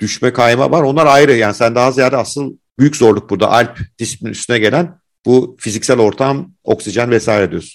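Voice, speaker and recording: A man with a normal speaking voice delivers his words fairly quickly, his pitch medium and varying in an ordinary way. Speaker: podcast host. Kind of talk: interview.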